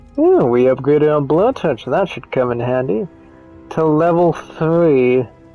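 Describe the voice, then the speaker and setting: Fairly slow speech with music in the background. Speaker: gaming commentator. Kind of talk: let's play commentary. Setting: home microphone. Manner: casual.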